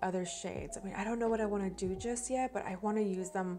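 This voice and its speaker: Music plays in the background as a woman talks at a very fast pace. Her medium-pitched voice stays monotone and flat. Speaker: beauty vlogger. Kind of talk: product review and makeup tutorial. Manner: casual, chatty.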